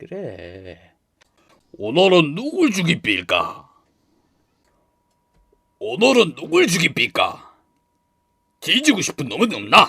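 Using a put-on character voice, a man with a high pitch speaks in a raised, projected voice at a fairly slow pace, with long, frequent pauses. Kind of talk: game character voice sample.

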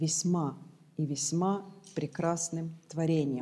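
Against a quiet background, a woman with a dark, mellow tone speaks at a very slow pace with fairly even intonation. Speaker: preacher. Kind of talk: sermon. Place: church.

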